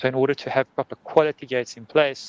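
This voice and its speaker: In a South African accent, a man with a medium pitch speaks in a monotone, flat intonation, the sound dry and close with no echo. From South Africa, Cape Town. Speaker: conference speaker, head of engineering. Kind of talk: conference talk.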